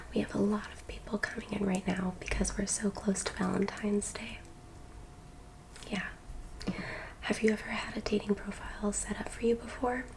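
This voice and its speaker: A woman speaks in a gentle tone with long, frequent pauses. Noticeable background noise runs underneath. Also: moderate pace. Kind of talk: asmr roleplay, soft spoken. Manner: soft-spoken, gentle.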